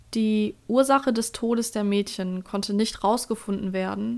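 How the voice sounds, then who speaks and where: Her pitch sits in the medium range for a woman, and it rises and falls an ordinary amount. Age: 20s. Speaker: podcast host. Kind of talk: scripted narration.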